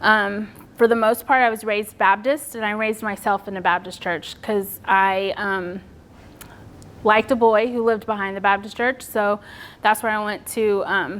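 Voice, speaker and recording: In a Texan accent, a woman speaks at a fairly high pitch and moderate pace with fairly even intonation, on a very clean recording with a silent background. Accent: Texan American. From Texas. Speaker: public speaker on suicide loss. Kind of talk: personal testimony talk.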